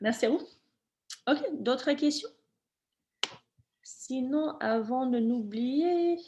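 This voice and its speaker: Speaking at a very slow pace, a woman uses lively intonation in a dark, mellow tone. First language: not French (speaking French). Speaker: webinar presenter, program staff. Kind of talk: Q&A session in webinar. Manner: halting, many fillers.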